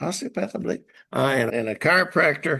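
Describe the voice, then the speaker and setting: A man with a fairly high pitch and a bright, sharp tone speaks with vocal fry. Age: 80s+. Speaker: horse trainer. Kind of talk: casual chat. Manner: halting.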